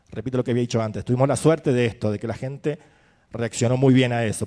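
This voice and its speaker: A man's dark, mellow tone at medium pitch, very fast pace and fairly even intonation, on a very clean recording with a silent background. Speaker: film festival programmer. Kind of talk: panel discussion. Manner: halting, with fillers.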